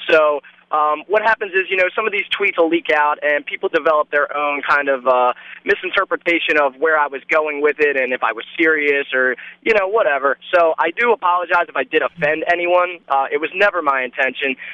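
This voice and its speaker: Using a plain, everyday voice, a man with an American accent speaks at a fairly quick pace and a fairly high pitch, with ordinary pitch variation. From Baltimore, Maryland. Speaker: reality TV cast member. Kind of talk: interview.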